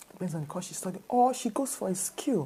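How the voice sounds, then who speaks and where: With a Nigerian accent, a woman talks in a medium pitch with lively intonation. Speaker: motivational speaker. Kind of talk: talk to camera. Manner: repetitive, conversational.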